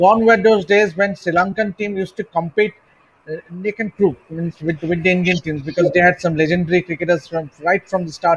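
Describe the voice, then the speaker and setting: A man's voice is heard. It sits high in pitch for a man. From India. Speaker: sports journalist. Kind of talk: panel discussion. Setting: video call. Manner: halting. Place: home room. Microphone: video call.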